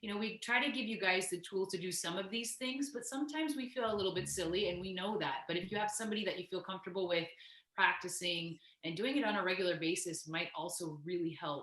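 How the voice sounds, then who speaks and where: A woman's medium-pitched voice at a very fast pace, lively in intonation, over noticeable background noise. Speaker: class instructor. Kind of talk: casual talk in online class.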